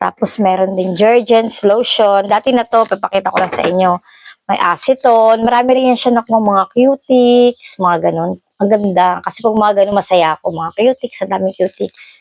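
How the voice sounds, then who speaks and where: In a dry, close recording with no echo, a woman speaks in a normal speaking voice at a medium pitch and a moderate pace, with ordinary pitch variation. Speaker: vlogger. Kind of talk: casual vlog, showing items.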